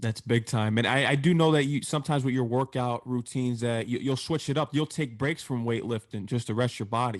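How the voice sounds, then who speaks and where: A man with an American accent talks at a fairly quick pace in an unremarkable speaking voice, his medium pitch and fairly even intonation broken by hardly any pauses against a quiet background. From Connecticut. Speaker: radio show host. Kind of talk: interview.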